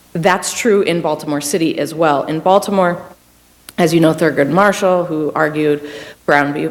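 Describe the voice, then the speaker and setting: Through noticeable background noise, a woman talks with ordinary pitch variation. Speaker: public defender, panelist. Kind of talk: panel talk. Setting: university panel with audience.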